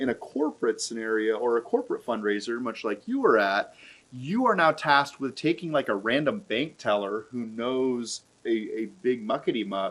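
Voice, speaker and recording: A man speaks in a plain, everyday voice at a medium pitch, with ordinary pitch variation and a moderate pace. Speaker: charity auctioneer. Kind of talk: casual conversational discussion of fundraising events.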